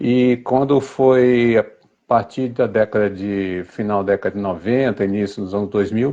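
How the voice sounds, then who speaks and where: A man's fairly low, dark, mellow voice at a fairly slow pace, with fairly even intonation. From Brazil, Niterói (Rio de Janeiro), born in Recife. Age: 60s. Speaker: writer and advertising copywriter, cancer survivor. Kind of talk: interview.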